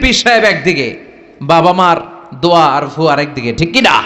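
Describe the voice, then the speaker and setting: Noticeable background noise sits behind a man's fairly high voice. His pitch swings very widely. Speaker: Islamic preacher. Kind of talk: Islamic sermon (waz) to a live crowd. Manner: rhetorical, call-and-response with audience.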